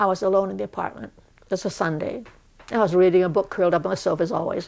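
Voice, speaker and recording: A woman with an American accent talks at a very fast pace, at medium pitch, with lively intonation. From Boston, US. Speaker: war-era witness. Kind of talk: interview testimony.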